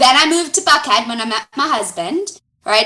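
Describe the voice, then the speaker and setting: A woman's raised, projected voice with an American accent, bright, sharp tone, very wide pitch swings and a moderate pace. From Florida, Fort Lauderdale. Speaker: foundation director. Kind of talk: podcast interview.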